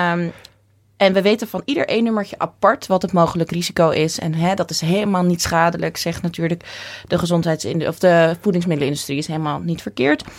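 A woman's plain, everyday voice, fairly low in pitch, fairly quick, with ordinary pitch variation. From Netherlands, Texel. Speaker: nutritionist and orthomolecular therapist. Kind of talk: interview.

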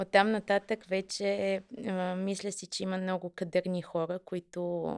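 On a very clean recording with a silent background, a woman talks at a medium pitch and a fairly slow pace, the sound dry and close with no echo. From Bulgaria, Kyustendil. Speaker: marketing manager. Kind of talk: interview.

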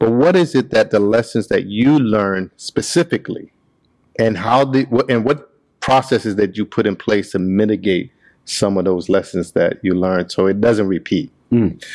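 With a normal speaking voice, a man talks at a moderate pace and fairly low pitch, his loudness very even and his pitch variation ordinary, on a very clean recording with a silent background. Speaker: podcast host. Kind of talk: casual interview chat. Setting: in person at a shop.

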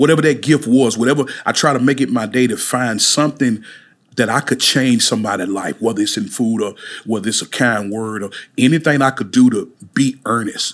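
In a very clean recording with a silent background, a man with a Mississippi accent speaks at a fairly quick pace. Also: medium pitch for a man, ordinary pitch variation. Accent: Southern US (Mississippi). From US South, Mississippi (Amory). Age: 40s. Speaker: chef and pastor. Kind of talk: interview. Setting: studio.

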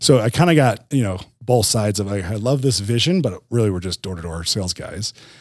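Delivered at a fairly quick pace with ordinary pitch variation, this is an unremarkable speaking voice on a very clean recording with a silent background. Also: man. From New Jersey. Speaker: tech company executive. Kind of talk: interview. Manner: casual, conversational with fillers.

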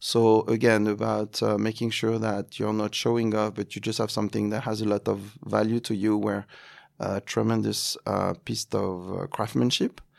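A man with a French accent talks at a moderate pace on a very clean recording with a silent background. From France. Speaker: events agency executive. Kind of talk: interview. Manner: halting.

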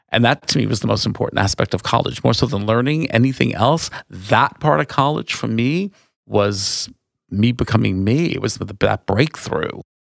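With vocal fry and lively intonation, a man at medium pitch talks at a moderate pace in an American accent. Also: dry, close sound with no echo. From New York, Long Island. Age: 60s. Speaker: wine tour owner and nonprofit director. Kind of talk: interview. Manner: animated.

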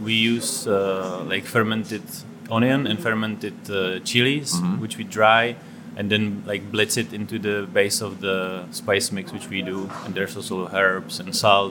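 Speaking at a fairly slow pace with a Czech accent, a man with a fairly low voice and ordinary pitch variation is heard over noticeable background noise and audible room echo. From Czech Republic. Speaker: chef and restaurant owner. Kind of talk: casual interview. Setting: in a restaurant.

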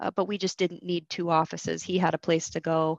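A woman with an American accent, in a dry, close sound with no echo and a quiet background. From US Midwest, Michigan. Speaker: technical sales manager. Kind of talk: casual interview chat.

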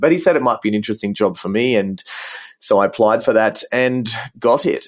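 This man speaks at a fairly quick pace in a medium pitch. The recording is very clean, with a silent background. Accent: Australian. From Australia. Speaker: business design director. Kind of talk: interview.

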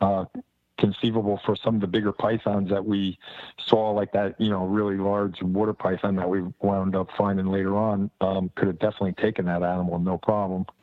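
A man's fairly low voice in an American accent, monotone and flat, at a fairly quick pace. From New Jersey. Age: 60s. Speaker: reptile keeper on a field trip. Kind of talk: casual chat.

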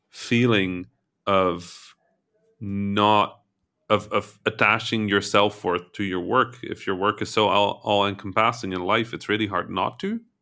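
A man talks at a fairly slow pace with monotone, flat intonation. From Netherlands, Egyptian heritage. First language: not English. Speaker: game developer and podcast host. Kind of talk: casual chat.

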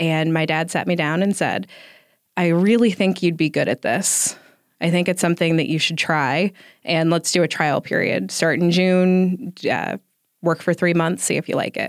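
A plain, everyday voice with an American accent moves at a moderate pace with fairly even intonation and very even loudness. The recording is very clean with a silent background, and the sound is dry and close with no echo. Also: woman, fairly low pitch for a woman. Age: 30s. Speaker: senior living operations director. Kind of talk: casual interview.

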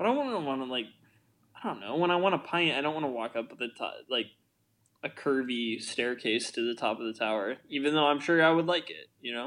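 A man with an American accent and a normal speaking voice talks fairly quickly at a fairly high pitch against a quiet background. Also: ordinary pitch variation. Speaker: podcast co-host. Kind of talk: casual podcast chat about a film.

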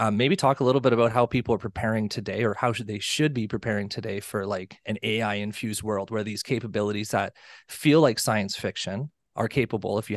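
Quiet in the background and dry, close with no echo, the recording carries a man's fairly low voice. He talks very fast with fairly even intonation. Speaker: podcast co-host. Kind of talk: interview. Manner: halting.

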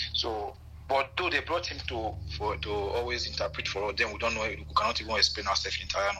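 A man rushes along at a very fast pace amid noticeable background noise. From Nigeria. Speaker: migrant farm worker. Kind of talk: casual interview. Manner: halting.

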